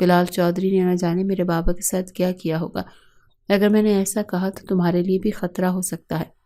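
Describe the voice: Simple, unadorned reading aloud.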